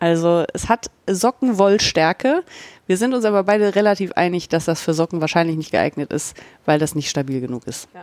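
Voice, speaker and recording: A woman with an unremarkable speaking voice talks at a moderate pace with a fairly low pitch, lively intonation and big swings in loudness, in a very clean recording with a silent background and a dry, close sound with no echo. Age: 40s. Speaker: podcast host, yarn dyer. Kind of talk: casual chat.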